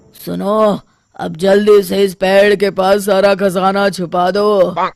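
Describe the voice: In a cartoonish character voice, a man speaks at a high pitch, fairly slowly, with monotone, flat intonation.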